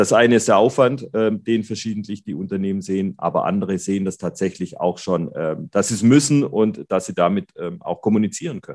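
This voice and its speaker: Here a man speaks at a fairly quick pace. His pitch is fairly low, with ordinary variation. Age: 40s. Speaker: occupational safety company manager. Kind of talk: interview. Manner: hesitant, many filler sounds.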